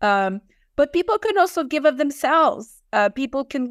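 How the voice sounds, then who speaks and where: A woman speaks with a French accent. The recording is very clean, with a silent background. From France. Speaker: nonprofit director. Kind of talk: interview.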